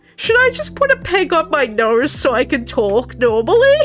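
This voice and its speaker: A woman speaks with a nasal sound. Music plays in the background. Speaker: vtuber streamer. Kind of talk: casual chat. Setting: live stream. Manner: nasal, pinching nose to talk.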